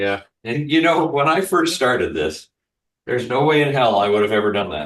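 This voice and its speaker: A man with an American accent, medium pitch, vocal fry, very wide pitch swings and a fairly quick pace. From US Midwest. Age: 60s. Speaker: cooking show host. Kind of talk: casual chat.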